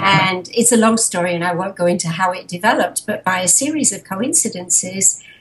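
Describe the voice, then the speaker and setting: A woman with an English accent speaks at a fairly quick pace. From England, Harrow. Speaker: animal sanctuary founder. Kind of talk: interview.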